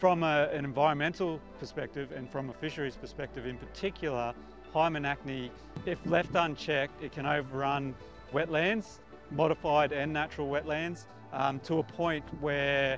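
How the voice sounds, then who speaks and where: Clear music plays in the background as a man speaks with fairly even intonation. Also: moderate pace, dry sound with no echo. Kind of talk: interview answer. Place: waterside. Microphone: lapel.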